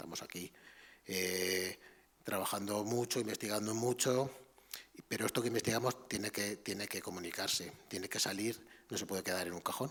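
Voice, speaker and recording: A quiet man's voice, fairly low-pitched, with fairly even intonation. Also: moderate pace. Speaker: art history professor. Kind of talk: lecture. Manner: halting.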